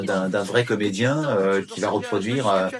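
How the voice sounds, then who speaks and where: A man with a fairly low pitch speaks at a fairly slow pace over noticeable background noise. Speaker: voice actor (French dubbing actor). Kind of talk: interview answer. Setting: interview. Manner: earnest, concerned, speaking with conviction.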